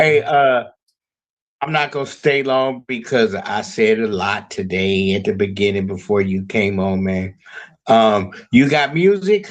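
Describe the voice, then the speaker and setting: At a fairly slow pace, a man uses an ordinary speaking voice with a medium pitch and lively intonation. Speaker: music promoter. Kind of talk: group video call discussion. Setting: video call.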